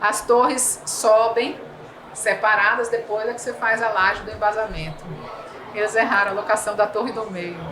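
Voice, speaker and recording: With a Bahian accent, a woman with a fairly high voice speaks at a moderate pace over noticeable background noise, with audible room echo. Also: fairly even intonation. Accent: Bahian Brazilian Portuguese. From Bahia, Brazil. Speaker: civil engineer. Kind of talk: podcast interview. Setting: trade fair.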